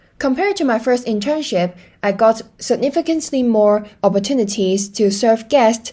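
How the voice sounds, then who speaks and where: A woman speaks in a Hong Kong accent with a dark, mellow tone and ordinary pitch variation. The recording is very clean and the background silent. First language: Cantonese. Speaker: hospitality student. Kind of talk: presentation.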